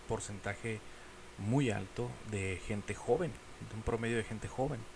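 Here a man is speaking. His intonation is fairly even. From Mexico. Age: 40s. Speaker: podcast host. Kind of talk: casual monologue. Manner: halting.

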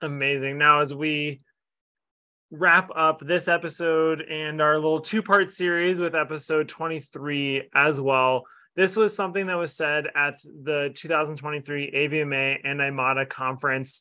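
This is an unremarkable speaking voice delivered at a fairly slow pace. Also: man, fairly high pitch for a man. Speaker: podcast host. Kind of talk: scripted intro and casual interview.

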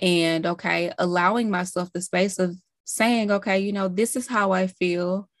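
Recorded dry and close with no echo, an ordinary speaking voice moves at a moderate pace with fairly even intonation. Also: woman, medium pitch for a woman. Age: 30s. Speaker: mindset and success coach. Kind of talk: casual interview conversation.

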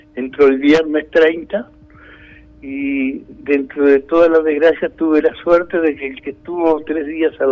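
Speaking in monotone, flat intonation, a man keeps a fairly high pitch and a fairly slow pace. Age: old. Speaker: COVID-19 survivor. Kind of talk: phone interview. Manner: halting.

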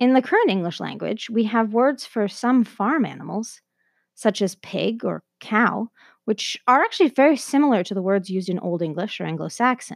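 A normal speaking voice from a woman with a Canadian accent, fairly high in pitch, lively in intonation and moderate in pace, on a very clean recording with a silent background and a dry, close sound with no echo. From Canada. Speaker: podcast host. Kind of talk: scripted narration.

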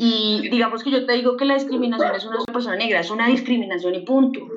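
A woman's fairly high-pitched voice comes with audible room echo. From Bogotá, Colombia. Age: 20s. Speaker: photographer. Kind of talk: casual chat.

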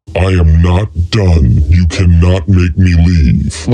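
A man's rumbling put-on character voice, very deep and low, at a very slow pace

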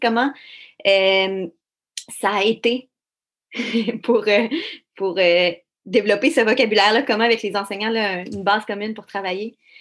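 Speaking with a Quebec accent, a woman has a fairly high pitch and ordinary pitch variation. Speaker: podcast host. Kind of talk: interview.

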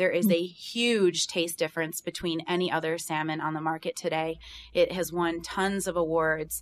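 A woman speaks in an American accent with monotone, flat intonation. Her pitch is fairly low, and the recording is very clean with a silent background. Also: moderate pace. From rural Pennsylvania, Bradford County. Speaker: business owner, seafood entrepreneur. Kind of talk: interview.

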